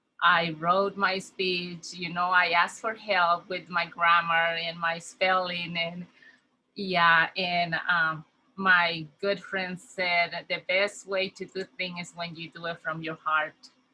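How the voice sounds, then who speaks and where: In a Spanish accent, a woman speaks at a very slow pace with a fairly low pitch and monotone, flat intonation. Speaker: community health worker. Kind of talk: conference welcome speech. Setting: virtual conference.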